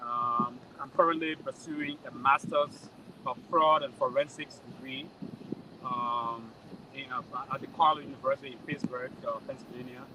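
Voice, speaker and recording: A man with a Liberian accent, fairly high pitch, moderate pace, fairly even intonation and big swings in loudness, over noticeable background noise. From Liberia (Nimba County). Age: 40s. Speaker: journalist and association election candidate. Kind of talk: interview. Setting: convention event. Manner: halting, many fillers and repetitions.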